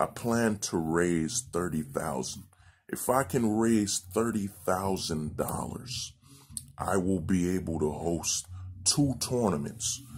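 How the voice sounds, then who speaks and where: Against a quiet background, a man with a very deep, low pitch talks at a very slow pace with lively intonation. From Haiti. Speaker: nonprofit founder. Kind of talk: appeal video monologue. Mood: earnest, thoughtful. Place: home room. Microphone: phone near.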